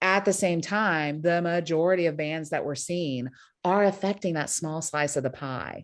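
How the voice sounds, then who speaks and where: Against a quiet background, a woman with an American accent and an ordinary speaking voice talks at a moderate pace, fairly low in pitch with ordinary pitch variation. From Brazil, then United States from seventh grade. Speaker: panel moderator. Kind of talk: roundtable discussion. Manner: conversational with frequent fillers.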